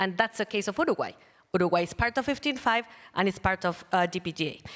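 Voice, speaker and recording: A woman talks at a very fast pace with a Spanish accent. Her pitch is fairly low. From Colombia. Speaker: panel moderator. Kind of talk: panel moderation. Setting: stage with audience.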